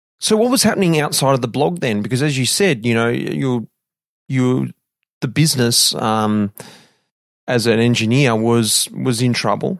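Lively intonation in an Australian accent, at a moderate pace and very even loudness, on a very clean recording with a silent background. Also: man, medium pitch for a man. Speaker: podcast host, former pro cyclist. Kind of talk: interview.

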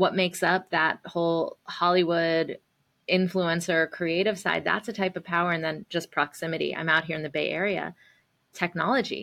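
Speaking at a moderate pace, a woman uses a fairly low pitch and fairly even intonation, with a bright, sharp tone. The recording is very clean, with a silent background. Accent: American. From US South. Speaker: nonprofit CEO and activist. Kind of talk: casual interview.

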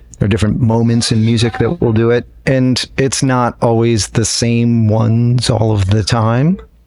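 Moderately paced speech with hardly any pauses, very even loudness and fairly even intonation, amid noticeable background noise. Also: man, medium pitch for a man. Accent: American. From upstate New York. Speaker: guitarist in a jam band. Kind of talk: casual interview.

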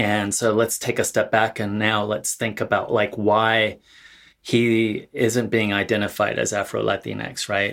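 On a very clean recording with a silent background, a man with an American accent speaks at a fairly slow pace in a fairly low pitch, his intonation monotone and flat. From California, Central Valley. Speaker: author and academic. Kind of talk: panel discussion.

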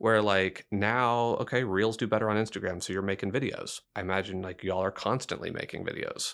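In a very clean recording with a silent background, a man with an unremarkable speaking voice talks at a fairly quick pace, fairly low in pitch, with fairly even intonation and hardly any pauses. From Texas, Dickinson near Houston. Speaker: journalism professor. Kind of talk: interview.

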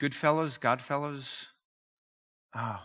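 Over a very clean recording with a silent background, a man speaks in an animated tone. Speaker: open-air evangelist. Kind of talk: talk to a church group. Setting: venue with microphone and audience.

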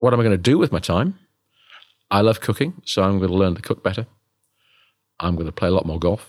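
A man talking at a very fast pace, with long, frequent pauses and ordinary pitch variation. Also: fairly low pitch for a man. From northeast England. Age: 60s. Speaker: dental professor. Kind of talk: interview.

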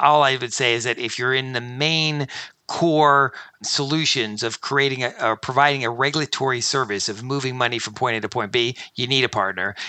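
In an American accent, a normal speaking voice moves at a fairly quick pace with fairly even intonation. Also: man, medium pitch for a man. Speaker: fintech company founder and CEO. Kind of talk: interview.

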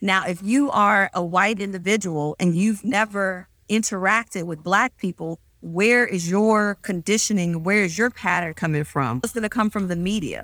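On a very clean, dry, close recording with a silent background and no echo, a woman with a normal speaking voice and an American accent talks at a moderate pace and medium pitch, with ordinary pitch variation and hardly any pauses. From US South, Mississippi. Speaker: physician. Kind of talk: interview.

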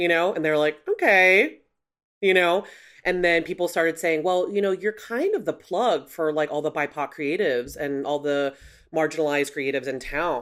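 In an American accent, a woman with a plain, everyday voice talks at a moderate pace, her fairly low pitch showing ordinary variation. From Chicago. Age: 40s. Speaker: creative agency founder. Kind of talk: interview conversation.

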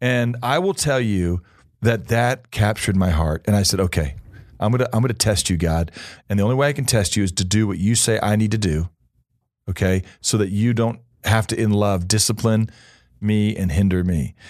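An unremarkable speaking voice: a man with an American accent, fairly low in pitch, at a moderate pace, with very even loudness over a quiet background. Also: ordinary pitch variation. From Missouri. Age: 50s. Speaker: pastor. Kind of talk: interview.

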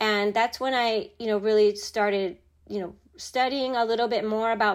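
A normal speaking voice from a woman, fairly high in pitch with fairly even intonation, on a very clean recording with a silent background. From born in Japan, raised in Chicago area US. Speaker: corporate executive. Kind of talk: interview, personal storytelling.

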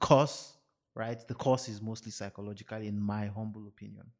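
A man with a Nigerian accent and big swings in loudness. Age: 30s. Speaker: podcast co-host. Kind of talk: casual chat. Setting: studio.

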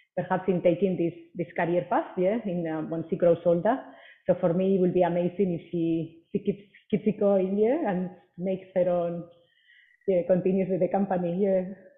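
At a moderate pace, a woman speaks in a medium pitch. Her intonation is monotone and flat. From Spain. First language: Spanish. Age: 40s. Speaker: personal trainer. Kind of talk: interview. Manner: hesitant, many fillers and repeats.

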